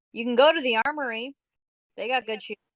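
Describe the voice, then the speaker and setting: In a put-on character voice, a female-sounding speaker mumbles at a high pitch and a fairly quick pace. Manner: mumbling, casual.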